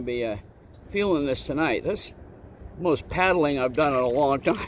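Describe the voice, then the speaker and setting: With noticeable background noise behind him, a man's fairly high voice moves at a fairly quick pace, its pitch varying in an ordinary way. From Vermont. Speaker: outdoor vlogger. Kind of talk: casual vlog narration. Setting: outdoors in a kayak on a pond. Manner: relaxed, hesitant with fillers.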